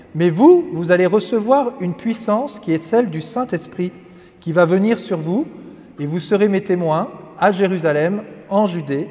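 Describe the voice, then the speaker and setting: Over noticeable background noise, a man speaks at a fairly slow pace in a high voice. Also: ordinary pitch variation. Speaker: priest. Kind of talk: religious teaching.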